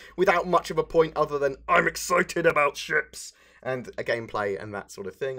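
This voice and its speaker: A man puts on a raspy character voice at a fairly high pitch. He moves at a fairly quick pace with lively intonation. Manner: silly.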